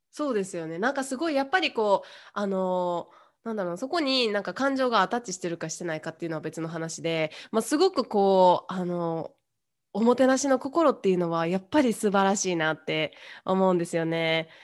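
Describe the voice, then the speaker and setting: A woman with an ordinary speaking voice talks at a medium pitch and a fairly quick pace, using lively intonation over a quiet background. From Kyoto, Japan. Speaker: English teacher working abroad. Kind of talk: casual chat.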